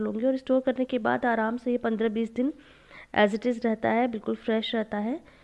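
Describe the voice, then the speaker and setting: A woman speaks at a moderate pace with a fairly high pitch and monotone, flat intonation. The background is quiet. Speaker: home vlogger. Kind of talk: vlog narration.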